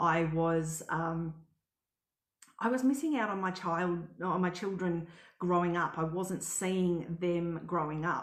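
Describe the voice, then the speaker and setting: Amid audible room echo, a woman with an Australian accent speaks very slowly at a fairly low pitch with fairly even intonation. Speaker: travel blogger and house sitter. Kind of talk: live webinar presentation. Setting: live stream.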